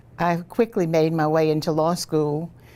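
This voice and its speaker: A woman with a Southern Louisiana accent, very deep and low in pitch, dark and mellow in tone, at a moderate pace. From Louisiana, St. Charles Parish. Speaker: retired federal judge. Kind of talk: oral history interview.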